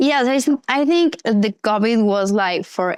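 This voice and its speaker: A woman with a medium-pitched voice speaks with lively intonation. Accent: Argentine. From Argentina. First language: Spanish. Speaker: actress and model. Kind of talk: casual interview. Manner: halting, searching for words.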